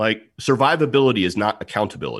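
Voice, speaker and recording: A man with an American accent talks with vocal fry and ordinary pitch variation on a very clean recording with a silent background. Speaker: security expert and author. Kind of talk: interview.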